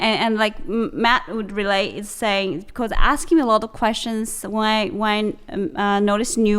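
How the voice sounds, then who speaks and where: In a Chinese accent, a woman speaks at a fairly slow pace with a fairly high pitch and ordinary pitch variation, captured in a very clean recording with a silent background. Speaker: podcast co-host. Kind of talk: casual chat. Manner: halting, with frequent fillers and restarts.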